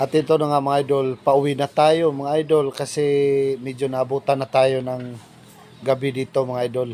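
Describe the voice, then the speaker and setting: A man talks with a fairly high pitch and monotone, flat intonation. Noticeable background noise runs behind him. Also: moderate pace. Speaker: vlogger. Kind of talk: casual vlog narration. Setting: outdoors.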